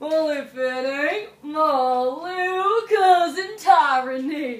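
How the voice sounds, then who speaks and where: A put-on character voice carries lively intonation. It unfolds at a very slow pace. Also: woman, high pitch for a woman. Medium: solo performance. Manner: drawling, teasing.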